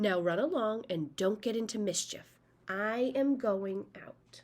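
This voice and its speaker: A put-on character voice is heard. Its pace is fairly slow. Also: woman, fairly high pitch for a woman. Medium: read story. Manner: motherly, firm.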